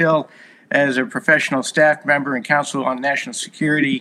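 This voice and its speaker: A man speaks in a bright, sharp tone. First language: Hungarian. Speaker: compliance consultant and former Marine officer. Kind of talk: casual interview chat.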